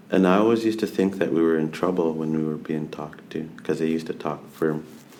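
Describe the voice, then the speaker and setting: Against noticeable background noise, a man with a very deep, low pitch speaks very fast in fairly even intonation. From Vancouver Island, British Columbia (Coast Salish, Snuneymuxw/Nanaimo). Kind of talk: podcast interview, personal storytelling.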